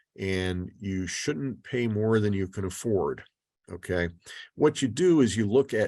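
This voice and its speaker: A man with fairly low pitch talks at a fairly slow pace in an ordinary speaking voice. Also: quiet background. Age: 60s. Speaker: financial speaker. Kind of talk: webinar lecture with Q&A. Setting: video call. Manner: casual, with fillers.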